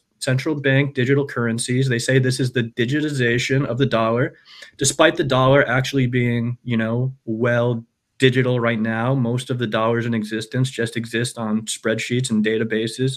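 Using a normal speaking voice, a man with an American accent talks at a medium pitch and moderate pace, keeping his intonation fairly even. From United States. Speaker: Lightning project founder. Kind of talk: casual chat.

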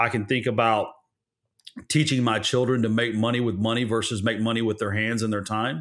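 A man talks at a fairly quick pace in a normal speaking voice, with medium pitch and fairly even intonation. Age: 40s. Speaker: real estate investor and lender, former Marine. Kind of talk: interview conversation.

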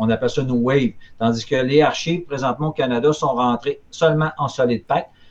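This man's voice sits at a medium pitch with fairly even intonation. He talks at a moderate pace. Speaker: collectibles retailer. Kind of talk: casual chat.

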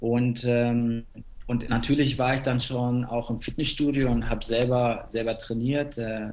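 Audible room echo follows a man as he talks at a medium pitch. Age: 30s. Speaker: fitness coach. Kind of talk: interview.

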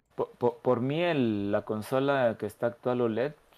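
A man with a Mexican accent, medium-pitched, at a moderate pace. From Mexico, San Luis Potosí. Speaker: podcast co-host. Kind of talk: casual chat.

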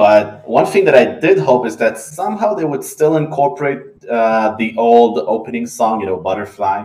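Speaking with an Israeli accent, this voice has a dark, mellow tone and very wide pitch swings, keeping a moderate pace with hardly any pauses. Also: man, medium pitch for a man. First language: Hebrew. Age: 20s. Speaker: anime podcast co-host. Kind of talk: casual chat.

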